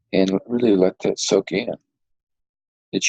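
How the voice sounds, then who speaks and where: A man talks at a fairly slow pace. He has a Southern US accent. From US South, Arkansas hills. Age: 60s. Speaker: retired police detective. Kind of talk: interview. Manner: halting.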